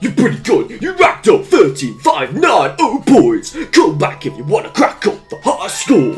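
Over clear music in the background, a man does a put-on character voice at an extremely high pitch and a fairly slow pace. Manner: playful game-host.

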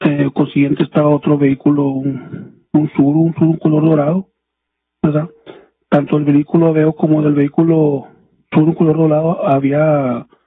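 At fairly high pitch, a man speaks with monotone, flat intonation and very even loudness, leaving long, frequent pauses. Light background noise sits underneath. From Mexico. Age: 30s. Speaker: police officer, witness; witness. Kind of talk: court testimony. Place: hall. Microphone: podium.

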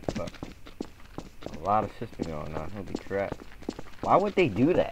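A man at a moderate pace, with big swings in loudness, long, frequent pauses, noticeable background noise and a dry sound with no echo. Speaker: gamer streaming roleplay. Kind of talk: casual gaming chat. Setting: online voice chat in game. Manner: animated, repetitive interjections; raised commanding tone. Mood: aggressive in-character outburst.

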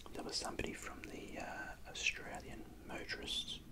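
A quiet whisper moves at a moderate pace beneath loud background noise. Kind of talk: tutorial. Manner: quiet ASMR whisper with an Australian accent.

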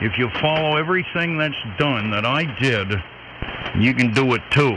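With a Maine accent, a man speaks at a moderate pace with lively intonation and very even loudness, the sound dry with no echo and with noticeable background noise. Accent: Down East Maine. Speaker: ham radio operator. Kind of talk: casual radio chat. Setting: shortwave radio transmission.

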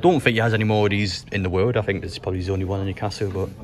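A man speaks very fast at a fairly low pitch, in a monotone, flat intonation. Noticeable background noise is present. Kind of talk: casual vlog chat. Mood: amused, appreciative. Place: hall. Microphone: phone near.

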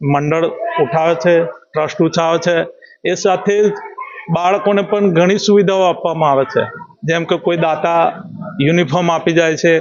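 A high-pitched male voice with fairly even intonation and very even loudness. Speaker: retired school principal. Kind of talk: farewell interview remarks. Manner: halting.

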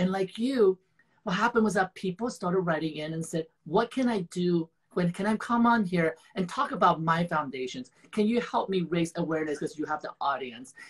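At a moderate pace, a man talks with a high pitch and a slightly husky edge. His pitch varies in an ordinary way.

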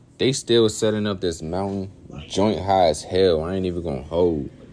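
At a moderate pace, a man with a very deep, low pitch speaks with ordinary pitch variation over light background noise. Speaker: vlogger at event. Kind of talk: casual vlog chat. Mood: upbeat, playful. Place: street. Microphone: phone near.

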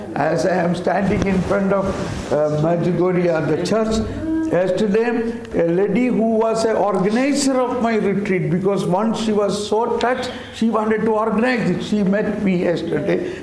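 A man's high voice at a moderate pace with ordinary pitch variation, audible room echo and light background noise. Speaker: retreat preacher teaching a workshop. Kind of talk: sermon. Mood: excited, laughing at times.

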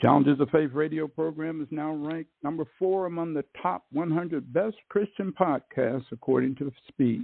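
A man with a normal speaking voice, fairly high in pitch and with ordinary pitch variation, talks at a moderate pace. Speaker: radio program host. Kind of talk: podcast intro.

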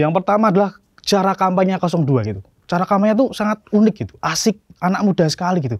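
A man talks at a very fast pace and high pitch with lively intonation. The background is quiet, and the sound is dry with no echo. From Solo, Central Java; Central Java, Indonesia. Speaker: stand-up comedian. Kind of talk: stand-up. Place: stage. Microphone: handheld.

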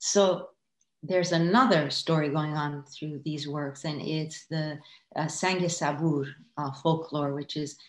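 Speaking with an Iranian accent at a fairly slow pace, a woman uses a very deep, low pitch and fairly even intonation, with audible room echo around her. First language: Farsi. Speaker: artist. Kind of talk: casual chat. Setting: video call. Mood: reflective, calm. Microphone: video call.

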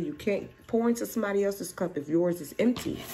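A woman talking at a fairly quick pace against light background noise. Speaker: tarot reader. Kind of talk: tarot reading commentary. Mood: calm, encouraging. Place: home room. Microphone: phone near.

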